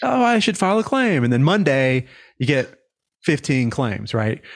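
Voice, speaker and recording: A man with a plain, everyday voice talks at a moderate pace and medium pitch, with lively intonation. His loudness stays very even, and the background is quiet. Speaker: insurance adjuster coach and show host. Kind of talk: career coaching conversation.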